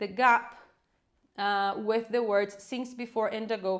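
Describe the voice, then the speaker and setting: This woman speaks with a Portuguese accent. Her pace is fairly slow. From Brazil. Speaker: English teacher. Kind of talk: live online class. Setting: livestream. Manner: animated.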